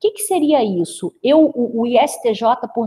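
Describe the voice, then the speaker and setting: With a dark, mellow, somewhat breathy tone, a woman speaks with lively intonation. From Brazil, interior of the state (Rio de Janeiro/Minas border area). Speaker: business consultant. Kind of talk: webinar presentation.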